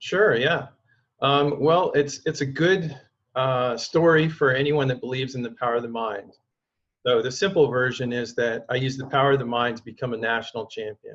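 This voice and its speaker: A man with an American accent, medium pitch and moderate pace. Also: ordinary pitch variation. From Oregon, US. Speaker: mental performance coach and former pro swimmer. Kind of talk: interview conversation.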